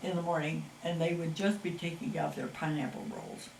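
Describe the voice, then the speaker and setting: A woman with an American accent speaks at a moderate pace and a fairly low pitch. Noticeable background noise and audible room echo surround her. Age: 80s+. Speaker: local resident interviewee. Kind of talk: oral history interview. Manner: casual, hesitant with fillers.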